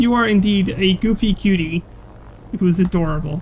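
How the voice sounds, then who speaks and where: A woman with a medium pitch sounds somewhat breathy, her pitch varying in an ordinary way. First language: not English. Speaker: gaming streamer. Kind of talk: live gameplay commentary. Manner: halting, stumbling over words.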